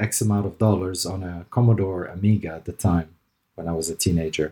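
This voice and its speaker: This man talks at a moderate pace in a dark, mellow tone that is somewhat breathy, his intonation fairly even. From Lebanon, raised in Dubai. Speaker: digital transformation consultant. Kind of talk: interview.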